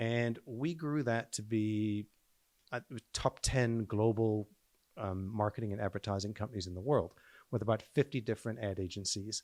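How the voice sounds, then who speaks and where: A man speaks with fairly low pitch and ordinary pitch variation. The recording is very clean with a silent background, and the sound is dry and close with no echo. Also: moderate pace. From South Africa, then Canada from age 13. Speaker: real estate company president. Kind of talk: podcast interview.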